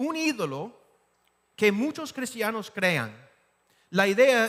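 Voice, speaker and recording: The man speaks at a very slow pace. His pitch swings very widely. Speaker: pastor. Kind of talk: sermon. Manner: halting, with repetitions and fillers.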